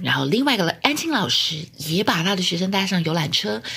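A woman's fairly low voice with lively intonation, at a moderate pace over noticeable background noise. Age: 30s. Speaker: podcast host and former cram-school teacher. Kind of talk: pre-recorded storytelling.

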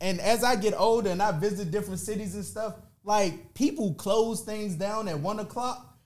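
A man with an American accent, a high pitch, ordinary pitch variation and a moderate pace, in audible room echo. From Washington, D.C. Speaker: MC. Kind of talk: casual chat.

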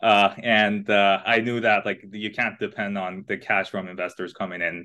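A man with a fairly low pitch and a bright, sharp tone talks at a moderate pace in a monotone, flat intonation against a quiet background. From Iran, smaller city. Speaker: tech startup founder. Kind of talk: interview. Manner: halting, many fillers.

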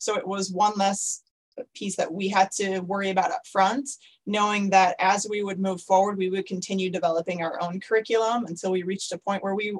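A woman with an ordinary speaking voice, medium in pitch, at a moderate pace. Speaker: school co-founder. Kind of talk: interview.

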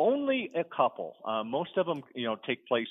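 Moderately paced and with typical pitch movement, this is a normal speaking voice. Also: man. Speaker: novelist. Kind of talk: casual interview.

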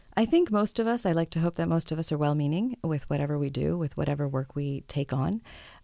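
Dry and close with no echo, the recording captures a woman with a very deep, low pitch and a dark, mellow tone. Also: very clean recording, silent background. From France, Pakistani family. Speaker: novelist and humanitarian aid worker. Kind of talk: interview.

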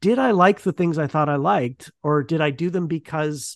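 In a dry, close recording with no echo, a man with a fairly high pitch and lively intonation speaks in an unremarkable speaking voice. His delivery is otherwise plain. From Ontario, Canada. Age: 40s. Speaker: podcast host and academic. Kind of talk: interview answers, casual.

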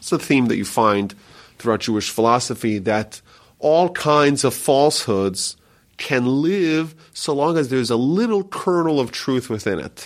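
This man has an ordinary speaking voice at a medium pitch, with lively intonation and a fairly slow pace. The recording is very clean, with a silent background. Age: 30s. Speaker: rabbi. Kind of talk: interview teaching.

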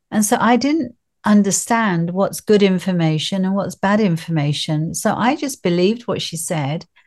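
This woman's voice is somewhat breathy. She speaks at a moderate pace with medium pitch. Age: 60s. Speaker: grief coach. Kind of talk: casual interview chat.

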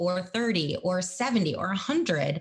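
There is noticeable background noise behind a woman whose voice sits at a fairly low pitch. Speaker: podcast host and speaker. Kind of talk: casual interview chat. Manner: energetic, voice goes up and down.

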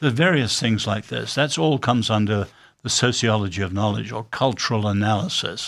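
At a moderate pace, a man with a British accent speaks at a medium pitch with lively intonation. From born in China, raised by British missionary family. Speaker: author and social critic. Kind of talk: interview.

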